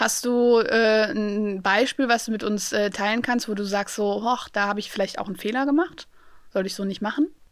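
A woman speaks in an ordinary speaking voice with a fairly high pitch. Her pace is moderate and her pitch varies in an ordinary way. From Germany, Aachen. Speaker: podcast host. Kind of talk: casual interview. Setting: studio.

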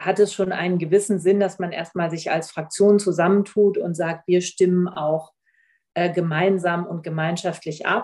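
Speaking at a moderate pace, a woman has a fairly low pitch, a dark, mellow tone, and monotone, flat intonation. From northern Germany, Oldenburg (Lower Saxony). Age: 40s. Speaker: member of parliament. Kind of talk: interview.

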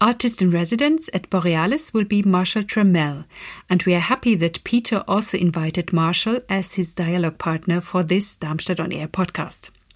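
A woman with a normal speaking voice talks at a moderate pace and a medium pitch with ordinary pitch variation, on a very clean recording with a silent background. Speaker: festival team member introducing the podcast. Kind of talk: scripted introduction.

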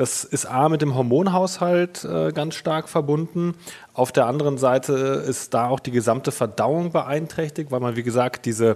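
With a normal speaking voice, a man talks at a moderate pace and medium pitch, with ordinary pitch variation. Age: 30s. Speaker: mattress company co-founder, sleep expert. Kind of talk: interview.

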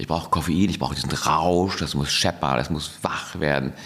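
At a fairly quick pace, a man with a very deep, low pitch speaks with ordinary pitch variation amid noticeable background noise. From Hamburg, northern Germany. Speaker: entrepreneur, soft drink company founder. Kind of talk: interview. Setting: studio. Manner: calm, measured.

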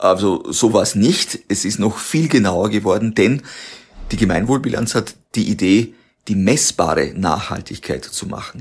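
Here a man has an unremarkable speaking voice, pitched fairly low. He talks at a fairly slow pace with lively intonation. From Austria, Waldviertel. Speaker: company founder. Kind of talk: interview.

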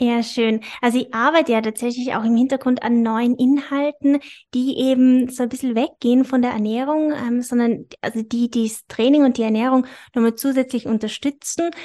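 Speaking at a moderate pace, a woman has a high pitch, a monotone, flat intonation and a dark, mellow tone. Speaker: personal trainer and nutrition coach, podcast host. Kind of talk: casual interview.

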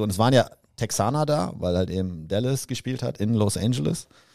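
On a very clean recording with a silent background, a man with a fairly low pitch and a dark, mellow tone speaks with lively intonation. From Westphalia, Germany (Soest area). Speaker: employee, foreign correspondent on podcast. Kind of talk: casual chat.

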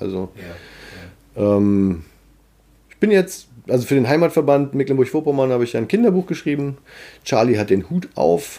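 On a very clean recording with a silent background, a man with a medium pitch and a dark, mellow tone speaks at a moderate pace, with very wide pitch swings and big shifts in loudness. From Harz region, Germany. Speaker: ventriloquist, musician and social worker. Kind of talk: casual interview chat.

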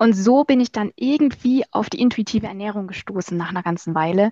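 Somewhat breathy speech with lively intonation, in a dry, close sound with no echo. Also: woman. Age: 20s. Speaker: marketing agency owner and social media creator. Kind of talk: casual interview.

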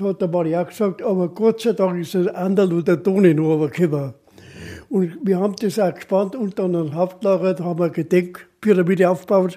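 A man's high-pitched, dark, mellow voice in a strong Bavarian accent, at a moderate pace with fairly even intonation. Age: 80s. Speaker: retired mountaineer, expedition veteran. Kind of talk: storytelling interview.

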